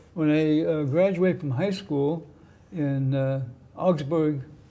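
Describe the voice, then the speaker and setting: Fairly high for a man, his voice has a dark, mellow tone, fairly even intonation and an American accent, with audible room echo. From US, raised partly in Germany. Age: 80s+. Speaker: Cold War Navy veteran. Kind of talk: testimony. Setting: TV studio.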